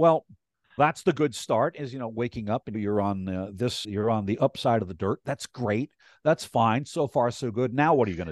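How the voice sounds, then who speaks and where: A plain, everyday voice, a man's at medium pitch with lively intonation and an American accent, moves at a moderate pace against a quiet background with a dry, close sound and no echo. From US Northeast, Hudson Valley, New York. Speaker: public agency worker on aging services. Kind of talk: interview.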